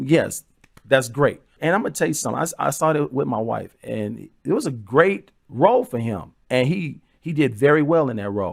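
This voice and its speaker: Vocal fry marks this man's voice. He talks at a fairly quick pace with lively intonation. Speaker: commentary show host. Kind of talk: solo video commentary. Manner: repetitive, hesitant.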